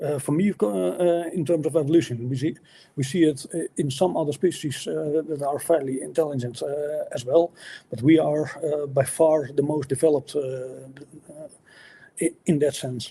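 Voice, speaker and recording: This man has a fairly high pitch and a dark, mellow tone that is somewhat breathy. He speaks at a moderate pace with ordinary pitch variation. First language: not English. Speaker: atheist debater. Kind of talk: debate. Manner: halting, many fillers and restarts.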